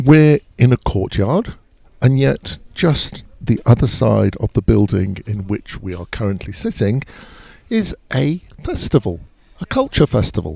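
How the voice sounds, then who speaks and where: Speaking in a London accent, a man with a medium pitch and a dark, mellow, somewhat breathy tone moves at a fairly slow pace through very wide pitch swings, the sound dry and close with no echo. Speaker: podcast host. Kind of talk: casual chat. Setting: outdoors in a courtyard.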